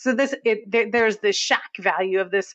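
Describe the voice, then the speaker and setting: Here a woman speaks with a New England accent and a fairly high pitch. Her intonation is lively, her pace moderate. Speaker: film podcast co-host. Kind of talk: casual chat.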